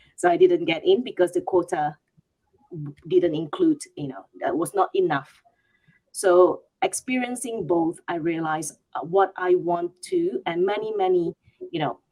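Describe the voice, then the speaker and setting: A woman speaks fairly slowly with a Malaysian accent. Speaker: HR leader. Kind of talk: panel discussion.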